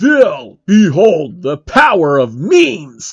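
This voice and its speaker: A man uses a put-on character voice pitched high for a man. He speaks at a very slow pace. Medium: read story.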